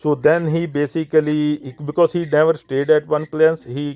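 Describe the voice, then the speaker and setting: Dry and close with no echo, the sound carries a man's fairly high voice. His tone is dark and mellow. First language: not English. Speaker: Sikh speaker in interfaith discussion. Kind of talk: interfaith discussion. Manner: halting.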